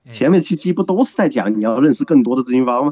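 A man with a dark, mellow tone talks at a fairly quick pace with very wide pitch swings. The sound is dry and close, with no echo. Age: 30s. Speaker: guest commentator. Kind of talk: casual chat.

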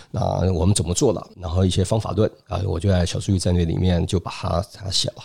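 Here a man speaks with a very deep, low pitch. He leaves hardly any pauses. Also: fairly even intonation, fairly quick pace. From Taiwan. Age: 50s. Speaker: business school lecturer and consultant. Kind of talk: interview.

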